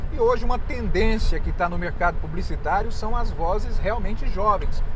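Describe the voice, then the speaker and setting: A man is speaking at a moderate pace. Noticeable background noise runs under his voice. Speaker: voice-over artist. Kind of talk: interview. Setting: inside a parked car. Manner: halting, many false starts.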